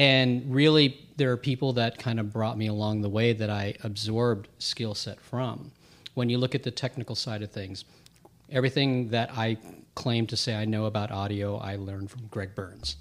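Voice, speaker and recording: A man with an American accent speaks at a moderate pace. His pitch is medium, and his intonation is fairly even. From US, Filipino family. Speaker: producer and tech lead. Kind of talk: casual interview chat. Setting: studio. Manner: calm, eloquent.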